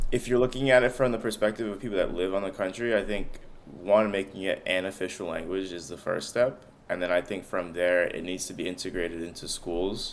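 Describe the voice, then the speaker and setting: A man talks at a fairly quick pace with an American accent. His pitch is fairly low, with ordinary variation. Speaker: podcast co-host. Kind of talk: casual conversation.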